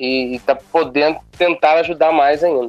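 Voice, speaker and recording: A man's fairly high voice at a moderate pace, fairly even in intonation, with music in the background. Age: young. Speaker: city councillor. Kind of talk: interview. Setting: phone call.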